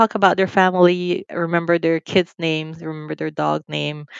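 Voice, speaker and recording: With a Nicaraguan accent, a woman speaks at a fairly low pitch in a dry, close sound with no echo against a quiet background. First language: Spanish. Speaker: financial firm CEO. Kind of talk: interview.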